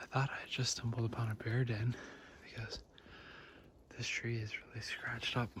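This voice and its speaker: A soft-spoken man talks at a medium pitch and a moderate pace. His intonation is monotone and flat. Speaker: outdoor vlogger. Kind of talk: casual vlog narration. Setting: outdoors in the woods.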